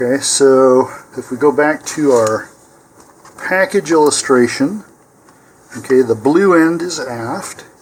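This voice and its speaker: A man with a fairly high voice and a calm tone speaks at a very slow pace, taking long, frequent pauses. His pitch varies in an ordinary way, and there is noticeable background noise. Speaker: model rocket builder. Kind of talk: tutorial. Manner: calm, step-by-step.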